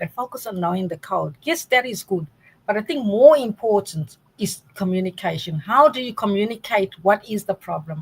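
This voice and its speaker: A woman with a South African accent talks at a moderate pace and medium pitch, her intonation lively. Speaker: data science academic. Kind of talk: interview.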